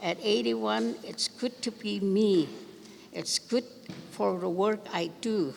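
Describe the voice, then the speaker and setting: Very slow speech with very wide pitch swings over noticeable background noise. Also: woman, medium pitch for a woman. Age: 80s+. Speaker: elder speaker. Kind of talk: speech at ceremony.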